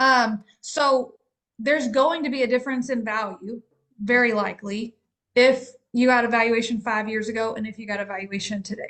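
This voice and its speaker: A woman with an unremarkable speaking voice keeps her intonation fairly even while her loudness swings widely. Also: fairly high pitch for a woman, moderate pace. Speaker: practice valuation specialist. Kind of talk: casual business discussion.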